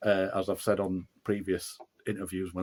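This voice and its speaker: A man with a Yorkshire accent talks at a fairly low pitch and a fairly quick pace. The sound is dry and close, with no echo. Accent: broad Yorkshire. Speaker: author and musician. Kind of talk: interview. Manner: halting.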